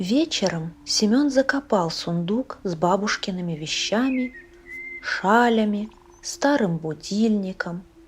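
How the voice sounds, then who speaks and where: At a very slow pace, a woman speaks with a calm tone and lively intonation over noticeable background noise. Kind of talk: audiobook reading of a short story.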